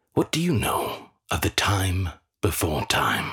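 Speaking fairly slowly, a man uses a put-on character voice that is raspy and very deep and low in pitch. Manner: warm, unhurried reminiscing.

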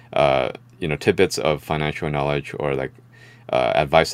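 A man speaks at a very deep, low pitch with vocal fry. His pace is moderate. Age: 30s. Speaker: investor. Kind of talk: casual chat.

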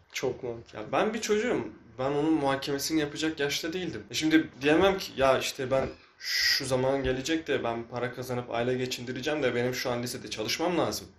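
Amid noticeable background noise, a man talks at a fairly quick pace and medium pitch with ordinary pitch variation. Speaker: podcast host. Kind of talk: casual chat.

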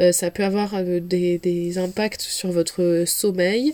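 A woman at a very slow pace, fairly even in intonation, against noticeable background noise. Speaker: dietitian podcast host. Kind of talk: solo podcast talk. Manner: hesitant, many fillers.

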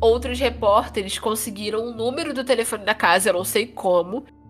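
A fairly high-pitched woman at a fairly quick pace, ordinary pitch variation, music in the background. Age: 20s. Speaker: true crime podcast host. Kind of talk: casual storytelling chat. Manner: animated.

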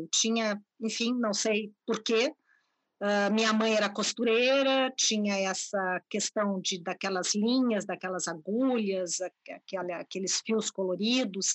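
A woman talks very slowly at a medium pitch, with ordinary pitch variation. The sound is dry and close with no echo, over a quiet background. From Brazil, Porto Alegre, Rio Grande do Sul. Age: 50s. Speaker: art curator and university professor. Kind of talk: interview.

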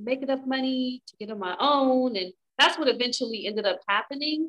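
At a moderate pace, a high-pitched woman talks with lively intonation. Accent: American. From Inglewood, California. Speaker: author. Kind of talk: casual chat. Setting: podcast recording.

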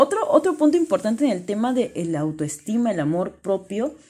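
This woman has a dark, mellow tone. Her pitch swings very widely. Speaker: life coach. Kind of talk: motivational monologue.

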